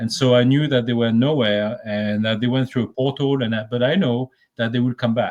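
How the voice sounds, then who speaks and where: A man talks with a French accent at a medium pitch. His pace is fairly quick and his intonation fairly even. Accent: noticeable French. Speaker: remote viewer. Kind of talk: casual interview chat.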